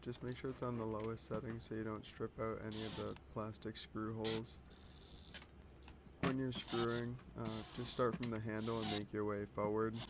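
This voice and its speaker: With noticeable background noise behind him, a man talks at a moderate pace, pausing long and often. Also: ordinary pitch variation. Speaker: DIY hobbyist. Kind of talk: DIY repair tutorial. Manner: whispered. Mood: tired, slightly self-deprecating. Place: garage. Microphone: phone near.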